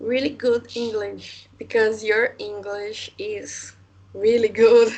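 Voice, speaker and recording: A woman talks very slowly in a Portuguese accent. Her fairly high voice stays monotone and flat. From Brazil. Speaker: language student. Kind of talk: casual chat. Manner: halting.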